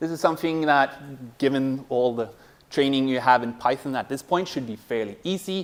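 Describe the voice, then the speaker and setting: An unremarkable speaking voice, a man talks at a moderate pace with ordinary pitch variation. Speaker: university lecturer. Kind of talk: lecture.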